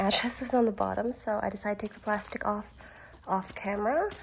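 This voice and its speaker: A woman's fairly high voice, ordinary in pitch variation, comes through noticeable background noise. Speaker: beauty and fashion vlogger. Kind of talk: casual unboxing vlog.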